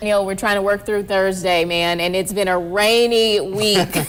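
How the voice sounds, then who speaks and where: An upbeat tone comes through noticeable background noise. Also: woman. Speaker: news anchor and reporter. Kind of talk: local TV morning news anchoring. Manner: polished, upbeat broadcast delivery.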